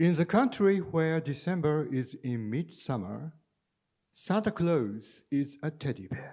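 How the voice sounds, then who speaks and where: In a Japanese accent, a man speaks at a fairly slow pace with a fairly high pitch, a dark, mellow tone and very wide pitch swings. The recording is very clean, with a silent background. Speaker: poet, translator and literature professor. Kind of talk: panel discussion and poetry reading. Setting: stage with audience.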